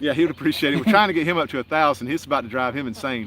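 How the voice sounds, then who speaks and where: A man's very fast, lively delivery at a fairly high pitch, with a Southern US accent. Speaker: homestead channel host. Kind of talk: casual live stream chat. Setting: outdoors by a lake.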